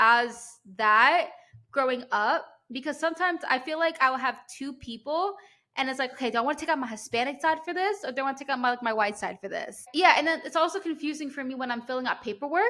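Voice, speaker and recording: On a very clean recording with a silent background, a woman speaks in a raised, projected voice at a high pitch, with ordinary variation and a fairly quick pace. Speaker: podcast host. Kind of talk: casual chat. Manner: fast; animated.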